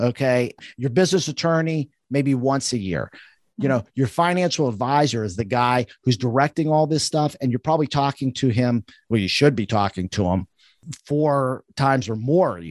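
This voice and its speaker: A man with an unremarkable speaking voice and medium pitch uses lively intonation at a moderate pace. The sound is dry and close with no echo, against a quiet background. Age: 50s. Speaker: financial advisor. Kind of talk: interview. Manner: casual, conversational.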